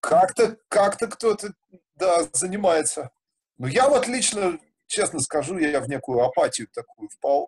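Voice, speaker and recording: A man speaks at a fairly slow pace with very wide pitch swings. His voice is somewhat breathy, with a dry, close sound and no echo. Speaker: musician and festival organizer. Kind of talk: casual interview.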